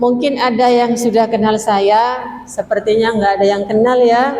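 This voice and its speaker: A woman's voice with fairly even intonation, along with audible room echo and noticeable background noise. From Madura. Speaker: female Islamic preacher. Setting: mosque. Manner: interactive, asks audience questions.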